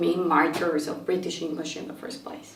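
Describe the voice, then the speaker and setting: A woman with an American accent speaks at a moderate pace. Noticeable background noise and audible room echo surround her voice. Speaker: English teacher. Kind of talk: lecture.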